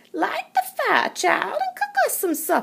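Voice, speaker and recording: A woman puts on a character voice at an extremely high pitch. She speaks at a fairly slow pace with very wide pitch swings. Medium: read story. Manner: warm, folksy.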